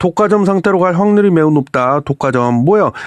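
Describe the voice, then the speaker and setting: A man's high-pitched voice with very wide pitch swings at a moderate pace, dry and close with no echo, over a quiet background. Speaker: finance commentator. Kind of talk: casual monologue commentary. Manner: animated, conversational.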